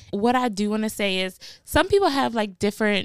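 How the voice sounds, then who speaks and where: On a very clean recording with a silent background, a woman talks in an animated tone with lively intonation. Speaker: podcast host. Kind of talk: casual monologue. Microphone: new podcast mic and recording device.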